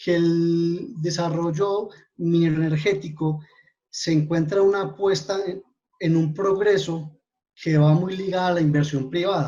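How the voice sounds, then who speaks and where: Pitched high, a man speaks with a dark, mellow tone and fairly even intonation. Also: fairly slow pace. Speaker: mining formalization coordinator. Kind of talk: webinar presentation.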